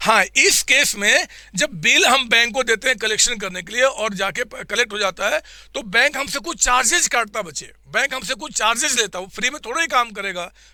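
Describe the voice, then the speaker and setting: Talking at a moderate pace with hardly any pauses, a man uses a raised, projected voice at an extremely high pitch, with lively intonation and an animated tone. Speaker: accounting teacher. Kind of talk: online revision class. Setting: live online class with chat. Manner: repetitive, animated teaching.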